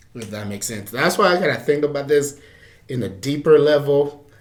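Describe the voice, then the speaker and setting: With an American accent and lively intonation, a man talks at a fairly quick pace amid audible room echo. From Liberia. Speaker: interview guest, college student. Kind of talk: casual interview.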